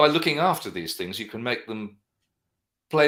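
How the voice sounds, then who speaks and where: The speaker has a London accent, captured in a very clean recording with a silent background. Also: man. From London, England. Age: 60s. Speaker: guitarist and vintage guitar dealer. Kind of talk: interview. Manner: fast.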